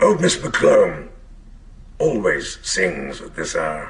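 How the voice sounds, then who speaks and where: A man puts on a raspy character voice and speaks at a very slow pace over light background noise. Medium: stage play. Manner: ruminative, dry and self-mocking.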